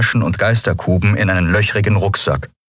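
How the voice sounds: This is a natural reading voice. Its intonation is fairly even.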